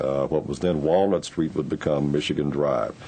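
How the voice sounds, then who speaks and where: A man with a very deep, low voice speaks with ordinary pitch variation over noticeable background noise. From Louisville, Kentucky. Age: 50s. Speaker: oral history interviewee. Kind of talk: oral history interview.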